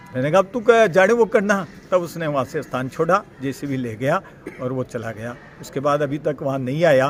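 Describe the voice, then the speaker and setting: A man speaks at a moderate pace with lively intonation and a fairly high pitch. Music plays in the background. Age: 60s. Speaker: local resident. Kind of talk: media statement.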